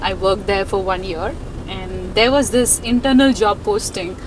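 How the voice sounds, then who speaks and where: Fairly slow speech with ordinary pitch variation, noticeable background noise and audible room echo. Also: woman. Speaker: information security executive. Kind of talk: interview. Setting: outdoors.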